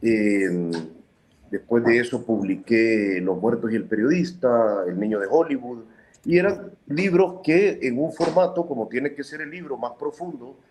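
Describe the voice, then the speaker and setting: A man with a medium pitch speaks at a fairly slow pace, his pitch swinging very widely. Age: 40s. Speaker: journalist and author. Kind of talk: interview.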